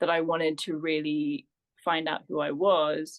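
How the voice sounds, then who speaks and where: This woman speaks with a fairly low pitch. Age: 30s. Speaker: womb healing and feminine embodiment practitioner. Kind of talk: podcast interview. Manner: hesitant, with frequent fillers.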